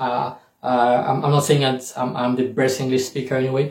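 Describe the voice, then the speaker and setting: A man with a French accent speaks at a fairly quick pace in a fairly high, somewhat breathy voice. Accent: French accent in English, self-noted. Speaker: YouTuber and scholarship coach. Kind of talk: tutorial. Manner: hesitant, many fillers.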